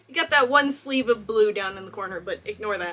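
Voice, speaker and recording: A woman talks in an American accent. Noticeable background noise is present. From Texas. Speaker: cosplayer and YouTuber. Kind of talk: video essay, film analysis. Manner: animated.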